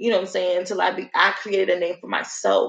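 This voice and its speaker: A woman's voice with a New Jersey accent. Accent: New Jersey urban American English. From North New Jersey. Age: 20s. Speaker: podcast host. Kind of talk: casual monologue.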